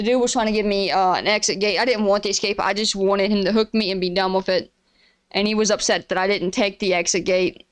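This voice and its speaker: An Appalachian accent at a very fast pace, very even in loudness, on a very clean recording with a silent background. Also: woman, medium pitch for a woman. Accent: Appalachian mountain. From Appalachia, eastern Kentucky (Pikeville). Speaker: streamer and podcast host. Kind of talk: casual monologue rant. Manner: animated, frequent stammers and restarts.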